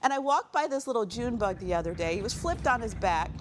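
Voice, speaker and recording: Using very wide pitch swings, a woman speaks in a warm tone at a fairly high pitch. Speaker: keynote speaker. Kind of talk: keynote speech to an audience, personal storytelling. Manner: warm, humorous, conversational.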